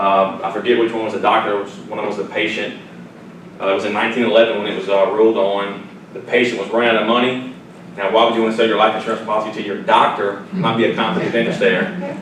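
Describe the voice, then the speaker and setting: A man with a Southern US accent talks at a very fast pace, at medium pitch with ordinary pitch variation. Audible room echo and noticeable background noise are present. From Louisiana, near Baton Rouge. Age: 30s. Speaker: financial advisor and radio host. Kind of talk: seminar presentation with Q&A. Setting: seminar room with audience. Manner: conversational, repetitive false starts.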